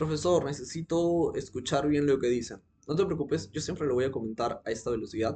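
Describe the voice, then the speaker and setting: A somewhat breathy man, fairly high in pitch, talking at a fairly quick pace in an animated tone. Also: ordinary pitch variation. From Peru. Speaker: teacher commenting on a video. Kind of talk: video commentary lecture. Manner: fast.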